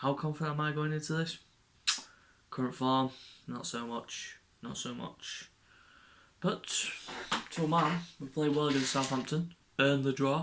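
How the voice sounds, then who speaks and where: With an English accent, a man talks quietly at a fairly high pitch and a moderate pace, his intonation fairly even and his pauses long and frequent. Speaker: football fan vlogger. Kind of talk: casual match preview monologue.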